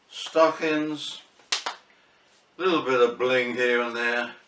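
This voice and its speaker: A man talks at a very slow pace in a medium pitch. There is noticeable background noise behind him. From England, Barnet, Hertfordshire. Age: 70s. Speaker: vlogger. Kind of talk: casual vlog monologue. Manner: hesitant, with fillers.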